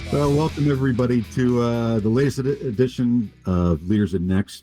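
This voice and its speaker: Over music in the background, a man with a medium pitch speaks at a moderate pace, with ordinary pitch variation and very even loudness. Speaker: podcast host. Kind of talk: podcast interview.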